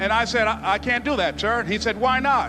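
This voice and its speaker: A man speaks in a raised, projected voice at an extremely high pitch, at a moderate pace with ordinary pitch variation, over music in the background. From US South, Miami, Florida. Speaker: motivational speaker. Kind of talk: motivational speech.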